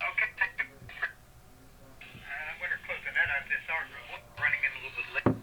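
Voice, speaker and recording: Over noticeable background noise, a man speaks at a moderate pace, broken by long, frequent pauses. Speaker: ham radio net control operator. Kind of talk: radio net announcements. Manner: halting, many fillers.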